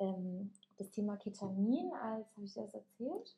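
Her voice comes across as somewhat breathy. The woman's medium pitch shifts in an ordinary way. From Germany. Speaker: podcast co-host, yoga teacher. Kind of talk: casual chat.

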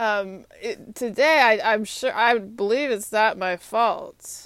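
In a very clean recording with a silent background, a woman with an American accent speaks at a fairly high pitch. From Texas. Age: 30s. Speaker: podcaster. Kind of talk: solo monologue. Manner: halting.

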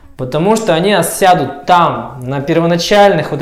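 A man speaks at a high pitch with ordinary pitch variation. Noticeable background noise and audible room echo fill the recording. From Russia, Tyumen (Siberia). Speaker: skateboarder and videographer. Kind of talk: casual chat.

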